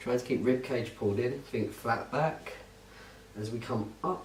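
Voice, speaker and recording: Soft-spoken and with a British accent, a man talks at a fairly slow pace with fairly even intonation. Audible room echo surrounds his voice. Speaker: fitness instructor. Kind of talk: tutorial. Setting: holiday lodge at night. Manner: quiet, soft-spoken.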